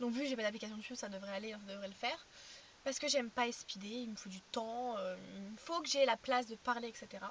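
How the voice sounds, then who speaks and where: A woman talks very fast at a fairly high pitch, her pitch varying in an ordinary way while her loudness swings widely. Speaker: vlogger. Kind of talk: casual vlog chat. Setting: in a car. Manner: fast, sometimes stuttering.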